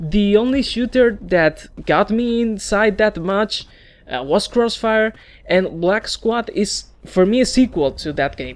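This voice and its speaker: Someone speaks at a fairly slow pace with a Spanish accent. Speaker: gaming YouTuber. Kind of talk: opinion video monologue. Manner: halting.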